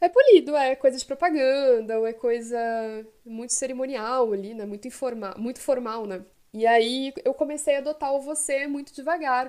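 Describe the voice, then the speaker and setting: Her high-pitched, dark and mellow voice has ordinary pitch variation and big swings in loudness as the woman talks at a moderate pace. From southern Brazil, Porto Alegre (Rio Grande do Sul). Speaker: podcast co-host. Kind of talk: casual chat.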